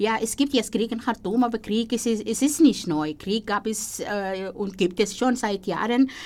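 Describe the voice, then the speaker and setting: A woman speaks with an Arabic accent at a fairly high pitch and ordinary pitch variation. Her pace is fairly slow, with hardly any pauses. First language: Arabic (speaking German). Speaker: radio host. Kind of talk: interview. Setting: studio.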